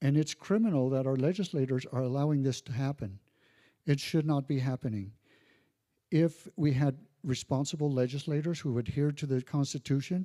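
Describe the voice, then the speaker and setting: At a fairly quick pace, a man with a fairly high pitch and ordinary pitch variation is captured in a dry, close sound with no echo on a very clean recording with a silent background. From Colorado, Western Slope. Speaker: political candidate. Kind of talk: candidate forum speech. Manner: halting.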